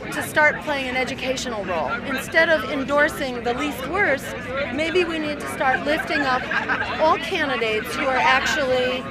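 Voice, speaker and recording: Crowd noise sits behind a woman speaking at a moderate pace. Her voice sounds dry, with no echo. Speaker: activist giving press interview. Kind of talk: interview answer. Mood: earnest, persuasive. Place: street. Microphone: handheld.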